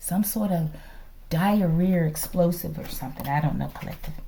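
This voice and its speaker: Somewhat breathy and fairly low in pitch, a woman talks at a moderate pace. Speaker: tarot reader. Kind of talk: tarot reading livestream-style monologue. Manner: casual, conversational with filler words.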